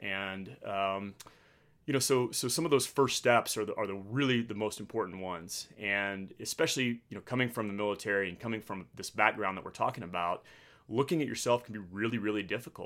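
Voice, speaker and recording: In a very clean recording with a silent background, a man with an American accent and an unremarkable speaking voice talks at a fairly quick pace and fairly low pitch, with ordinary pitch variation. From Texas, Midland. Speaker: veteran fighter pilot and entrepreneur. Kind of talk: casual chat.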